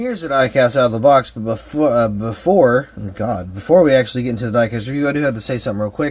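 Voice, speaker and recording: A man talks at a very fast pace with hardly any pauses. His medium-pitched voice comes through over noticeable background noise. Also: ordinary pitch variation. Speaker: diecast reviewer. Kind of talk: product review. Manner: casual, many fillers.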